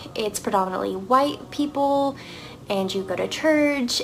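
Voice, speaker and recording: Over music in the background, a woman with an American accent talks with ordinary pitch variation. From US South, Arkansas. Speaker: vlogger sharing conversion story. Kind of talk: personal testimony. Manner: casual, many fillers.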